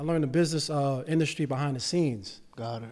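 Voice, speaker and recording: Fairly high for a man, this voice moves at a fairly quick pace with ordinary pitch variation. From New York City (Bronx). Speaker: real estate investor and financial literacy educator. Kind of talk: casual chat. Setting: studio. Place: studio. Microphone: studio mic.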